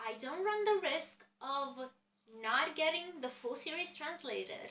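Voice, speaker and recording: At a moderate pace, a woman uses a raised, projected voice with lively intonation. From Romania. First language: Romanian. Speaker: book vlogger. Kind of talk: casual chat.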